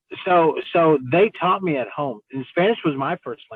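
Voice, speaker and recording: A man with a plain, everyday voice and an American accent, fairly high in pitch with ordinary variation, at a moderate pace. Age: 40s. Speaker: city council member. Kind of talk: interview. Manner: casual, with many fillers.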